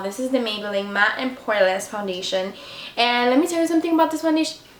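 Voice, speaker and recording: Amid noticeable background noise and audible room echo, a woman talks in a high pitch with lively intonation. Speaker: beauty vlogger. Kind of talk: tutorial. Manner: fast; casual, chatty.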